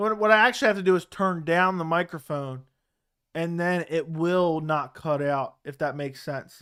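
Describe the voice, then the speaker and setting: The speech moves at a moderate pace with ordinary pitch variation, captured in a very clean recording against a silent background. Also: man, high pitch for a man. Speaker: MMA livestream host. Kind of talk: live watch-along commentary. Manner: loud, yelling at times.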